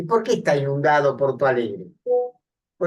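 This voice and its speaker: A man speaks with very wide swings in pitch. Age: 70s. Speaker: psychiatrist and speaker. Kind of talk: public talk with audience discussion. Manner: halting, many fillers.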